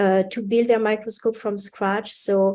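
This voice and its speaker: Her voice is at a medium pitch, and this woman has a dark, mellow tone. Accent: French. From France. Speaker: university instructor. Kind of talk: interview.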